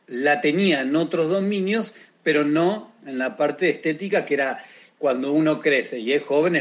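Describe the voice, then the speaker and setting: With a normal speaking voice, a man talks at a fairly high pitch using lively intonation. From Argentina. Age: 40s. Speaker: sports coach. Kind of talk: interview.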